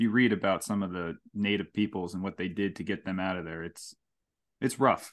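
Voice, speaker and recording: Speaking with an American accent, a man with a very deep, low pitch keeps his intonation fairly even over a quiet background. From Hudson Valley, New York. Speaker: podcast host. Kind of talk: casual chat.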